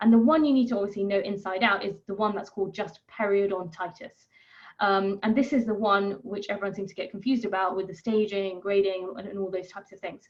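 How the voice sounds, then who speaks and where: The speaker talks at a very fast pace in a British accent, with fairly even intonation and big swings in loudness. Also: woman, medium pitch for a woman. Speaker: periodontal specialist dentist. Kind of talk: lecture. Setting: webinar.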